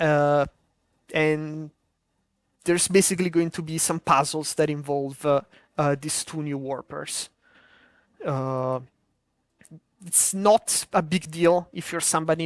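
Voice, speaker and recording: With a strong Italian accent, a woman speaks at a very deep, low pitch and a fairly slow pace, her fairly even intonation broken by long, frequent pauses, in a dry, close sound with no echo. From Italy. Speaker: modpack developer streaming a game preview. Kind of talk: live stream commentary. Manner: halting, many filler words.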